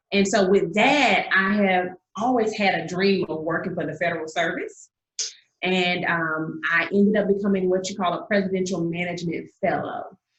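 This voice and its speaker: Audible room echo carries a woman's voice in a Southern accent. She keeps a medium pitch, fairly even intonation and a moderate pace. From Georgia, US South (Augusta). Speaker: singer-songwriter. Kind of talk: interview.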